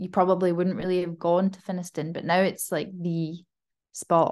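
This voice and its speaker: A woman with a Glasgow accent speaks in a dark, mellow tone. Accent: mild Glasgow Scottish. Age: 20s. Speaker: freelance copywriter. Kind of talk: casual chat. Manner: clear, easy to understand.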